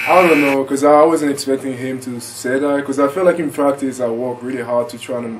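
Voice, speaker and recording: A man speaks at medium pitch and a fairly quick pace with hardly any pauses, his intonation fairly even but his loudness swinging widely, over noticeable background noise. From France, Paris. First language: French. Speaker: college basketball player. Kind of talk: interview. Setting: broadcast.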